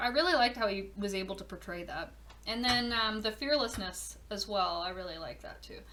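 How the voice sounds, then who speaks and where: Audible room echo surrounds a woman speaking at a fairly quick pace in a medium pitch. Her tone is bright and sharp, with ordinary pitch variation. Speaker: podcast host, horror event organizer. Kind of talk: casual monologue.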